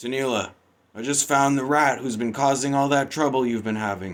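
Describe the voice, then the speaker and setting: A man uses a put-on character voice at a medium pitch. He talks at a moderate pace on a very clean recording with a silent background. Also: ordinary pitch variation. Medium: read story. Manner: aggressive, confrontational.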